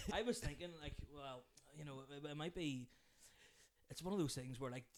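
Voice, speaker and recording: A fairly high male voice with a Northern Irish accent. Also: ordinary pitch variation. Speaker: podcast host and comedian. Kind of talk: casual chat. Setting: kitchen. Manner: fast. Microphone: cheap microphone.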